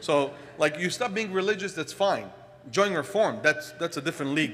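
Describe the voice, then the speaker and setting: Over noticeable background noise, a man with an Israeli accent speaks at a fairly quick pace, his high pitch carrying lively intonation. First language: Hebrew. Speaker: congregant speaker. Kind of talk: personal talk. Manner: halting.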